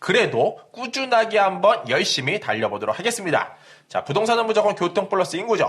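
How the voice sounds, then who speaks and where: Loudness stays very even throughout. The pace is fairly quick. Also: man, high pitch for a man, ordinary pitch variation. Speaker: real estate YouTuber. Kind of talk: real estate explainer.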